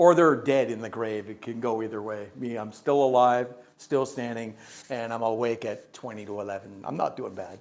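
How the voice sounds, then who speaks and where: A man with a plain, everyday voice, medium pitch, ordinary pitch variation, big swings in loudness and a moderate pace. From Canada. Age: 60s. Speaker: English teacher. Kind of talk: live-stream language lesson. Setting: live stream broadcast.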